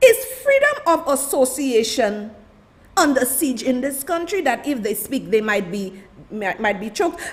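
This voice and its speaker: A woman speaks loudly at a moderate pace, her high voice animated with lively intonation over noticeable background noise. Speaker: political commentator. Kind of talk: livestream commentary.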